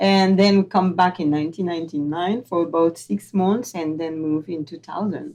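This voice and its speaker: A woman with a French accent uses a fairly low pitch and a dark, mellow tone, speaking at a moderate pace with ordinary pitch variation. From southern France. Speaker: actress. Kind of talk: casual chat. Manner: halting.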